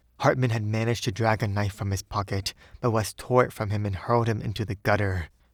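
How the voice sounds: Intonation stays fairly even in what sounds like a natural reading voice.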